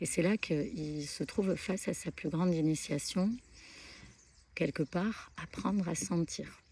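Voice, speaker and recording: Soft-spoken and somewhat breathy, a woman talks at a fairly slow pace with a dark, mellow tone and fairly low pitch. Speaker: spiritual content creator. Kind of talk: spiritual talk to camera. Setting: outdoors at a pilgrimage site. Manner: hesitant, many fillers.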